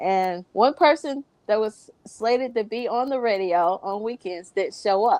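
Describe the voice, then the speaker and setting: Speaking fairly slowly in a fairly high pitch, this woman has an American accent, ordinary pitch variation and a normal speaking voice. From US South. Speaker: gospel radio music director. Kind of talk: casual interview.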